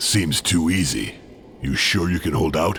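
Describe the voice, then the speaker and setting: A man's put-on character voice, very deep and low, at a fairly slow pace amid clear background noise. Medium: video game. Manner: gruff, terse.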